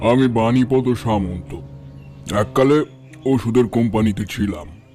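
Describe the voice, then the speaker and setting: Over music in the background, a man puts on a character voice at a medium pitch and a moderate pace. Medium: audio drama. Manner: calm, reserved.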